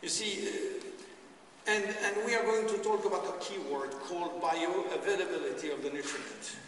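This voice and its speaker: A man speaks at a moderate pace with hardly any pauses, over noticeable background noise and audible room echo. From France. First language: French. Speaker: doctor presenting nutrition products. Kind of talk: presentation to an audience.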